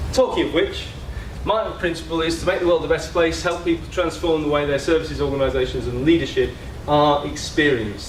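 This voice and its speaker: There is noticeable background noise and audible room echo as the man speaks. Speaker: systems leadership speaker. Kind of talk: conference talk. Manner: hesitant fillers.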